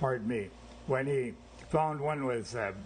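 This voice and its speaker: At a fairly slow pace, a man with a fairly high pitch shows vocal fry and ordinary pitch variation. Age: 80s+. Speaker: company founder. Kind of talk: life story memoir narration.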